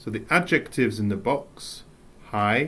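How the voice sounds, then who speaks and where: Speaking with an English accent, a man uses lively intonation. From England. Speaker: English teacher. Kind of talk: recorded lesson. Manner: animated.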